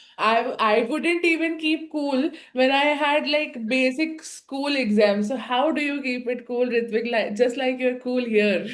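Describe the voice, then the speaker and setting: The speaker has an Indian accent. The delivery moves at a fairly slow pace. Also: woman, high pitch for a woman, ordinary pitch variation. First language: an Indian language (English is second). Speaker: IPMAT coaching teacher interviewing students. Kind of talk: interview. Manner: animated.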